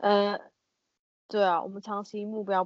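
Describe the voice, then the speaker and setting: A woman with a Taiwanese accent talks at a moderate pace, the sound dry and close with no echo over a quiet background. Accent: Taiwanese Mandarin. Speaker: office worker at a wine importer. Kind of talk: casual chat.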